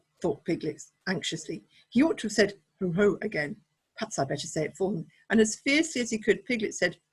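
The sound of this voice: An unforced reading voice with lively intonation. The background is quiet.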